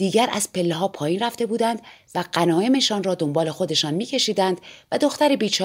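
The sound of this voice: Speech in an unforced reading voice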